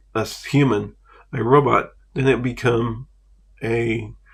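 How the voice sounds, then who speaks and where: A man with an American accent, medium pitch, fairly even intonation and vocal fry. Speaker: vlogger. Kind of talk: casual monologue. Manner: halting.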